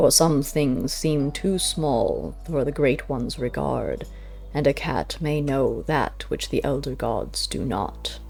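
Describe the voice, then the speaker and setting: Clear music plays in the background as a put-on character voice speaks at a fairly slow pace. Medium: read story. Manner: slow, solemn, measured.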